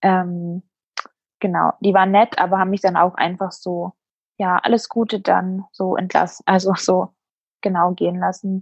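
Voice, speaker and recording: A woman's medium-pitched, monotone voice with flat intonation at a moderate pace, long, frequent pauses, and a dry, close sound with no echo against a quiet background. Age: 20s. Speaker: bereaved mother. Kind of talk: personal testimony interview.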